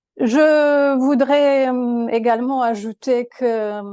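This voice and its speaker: Speaking with a Romanian accent, a woman has a dark, mellow tone and fairly even intonation. The background is quiet. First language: Romanian (speaking French). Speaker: law professor, master's programme director. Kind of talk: programme presentation to prospective students. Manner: halting, many hesitations and repetitions.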